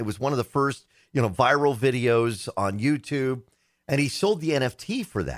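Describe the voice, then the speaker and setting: With a normal speaking voice at medium pitch, a man talks at a moderate pace using lively intonation. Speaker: tech radio host. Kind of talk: casual chat about technology.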